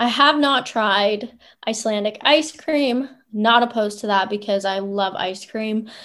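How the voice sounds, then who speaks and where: An ordinary speaking voice from a woman with a Canadian accent, fairly high in pitch with ordinary pitch variation, at a fairly slow pace, on a very clean recording with a silent background. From Ottawa, Canada. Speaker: professional soccer player. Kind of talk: interview.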